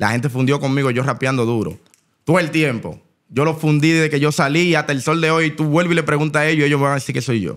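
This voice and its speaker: Very fast speech comes from a man with a Dominican accent. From Dominican Republic. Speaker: rapper; podcast guest. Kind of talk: casual interview. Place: studio. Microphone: studio mic.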